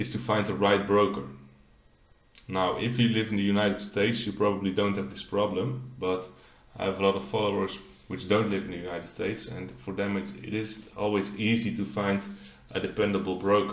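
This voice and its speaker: With a Dutch accent, a man talks at a fairly quick pace in a fairly low pitch with fairly even intonation, and audible room echo surrounds him. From Netherlands. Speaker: finance YouTuber. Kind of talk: tutorial.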